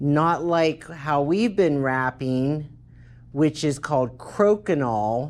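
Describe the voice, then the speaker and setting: At a very slow pace, a woman speaks with a very deep, low pitch and ordinary pitch variation. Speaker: cosmetology instructor. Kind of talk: tutorial.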